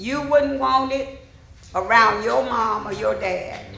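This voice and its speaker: A woman with an Alabama accent at a very slow pace, amid audible room echo and noticeable background noise. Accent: Southern US (Alabama). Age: 70s. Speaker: resident speaking at public hearing. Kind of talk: public comment. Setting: city council meeting.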